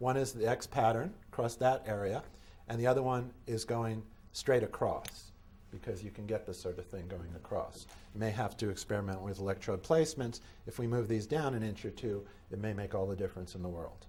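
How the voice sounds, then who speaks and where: A man speaks at a fairly quick pace in a somewhat breathy, dark and mellow voice of medium pitch, with ordinary pitch variation and audible room echo. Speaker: medical device inventor and lecturer. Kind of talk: conference lecture. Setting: conference hall with audience. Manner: fast.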